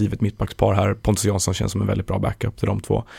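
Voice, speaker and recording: A man with a fairly low voice and vocal fry talks at a very fast pace. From Sweden, Stockholm. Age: 20s. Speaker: football journalist. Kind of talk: casual chat.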